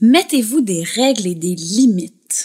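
In a Quebec accent, the voice moves at a very slow pace and sounds somewhat breathy. Its pitch swings very widely. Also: woman. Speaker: libertine, podcast guest. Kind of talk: casual interview chat.

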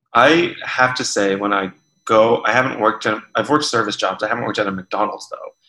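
In an ordinary speaking voice, a man talks at a medium pitch and a fairly quick pace. His pitch varies in an ordinary way. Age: 20s. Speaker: podcast host. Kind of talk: casual interview chat. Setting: video call.

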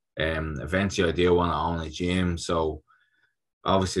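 A man with a Dublin accent speaks at a moderate pace in a very deep, low pitch on a very clean recording with a silent background. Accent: Dublin Irish. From Ireland, Dublin (North Strand). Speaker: Olympic boxer. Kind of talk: casual interview chat.

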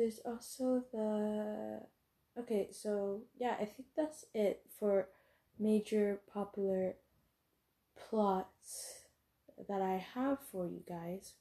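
This soft-spoken woman has a fairly high pitch and a dark, mellow tone, with fairly even intonation. She talks at a very slow pace with long, frequent pauses. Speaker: podcast host about story writing. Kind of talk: casual solo podcast talk. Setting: recording at cousin's home, quiet room.

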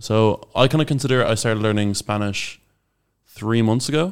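In a very clean recording with a silent background, a man with an Irish accent speaks at a medium pitch and moderate pace with ordinary pitch variation. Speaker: podcast co-host, language learner. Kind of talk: casual chat.

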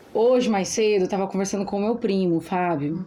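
A woman speaks with a dark, mellow tone at a medium pitch. Her pitch varies in an ordinary way. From interior of Brazil. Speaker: podcast co-host. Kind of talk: casual chat.

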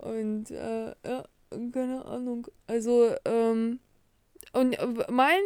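This woman speaks at a high pitch. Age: 40s. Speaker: podcast co-host. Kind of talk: casual chat. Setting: lying in bed.

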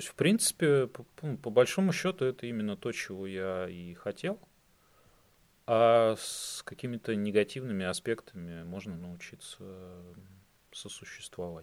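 In a very clean recording with a silent background, a man talks fairly slowly at a fairly low pitch, with lively intonation, long, frequent pauses and big swings in loudness. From Russia, Saint Petersburg. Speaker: IT worker. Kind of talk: casual chat.

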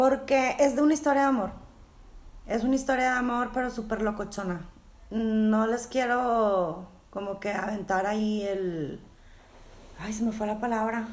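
The speaker has a Mexican accent and ordinary pitch variation, talking at a fairly slow pace with long, frequent pauses. Audible room echo surrounds the voice. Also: woman, fairly high pitch for a woman. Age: 40s. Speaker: podcast co-host. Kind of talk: casual chat.

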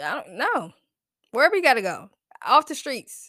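A woman's animated tone with very wide pitch swings at a moderate pace. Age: 30s. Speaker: podcast host. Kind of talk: casual chat. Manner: animated, laughing often.

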